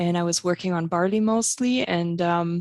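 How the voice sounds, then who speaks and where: In a German accent, a woman talks at a moderate pace with a fairly low pitch and fairly even intonation, captured in a very clean recording with a silent background and a dry, close sound with no echo. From Germany (East Germany, Halle). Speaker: plant pathologist, researcher. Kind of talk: podcast interview.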